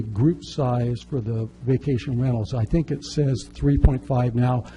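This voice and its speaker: A man's plain, everyday voice at a medium pitch with ordinary pitch variation. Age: 60s. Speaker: public commenter at city council. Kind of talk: public testimony.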